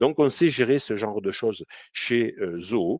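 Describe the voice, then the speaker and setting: With a Toulouse accent, a man of medium pitch speaks at a fairly slow pace with lively intonation, the sound dry and close with no echo and the background quiet. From southern France, Toulouse. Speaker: CRM consultant. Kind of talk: software demo webinar. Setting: live online webinar. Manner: hesitant, many fillers.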